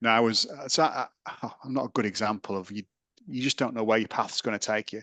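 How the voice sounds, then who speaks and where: A man with a British accent at a very fast pace, medium in pitch with ordinary variation and a bright, sharp tone, in a dry, close sound with no echo and a quiet background. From England. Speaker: sports science lecturer. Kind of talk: interview.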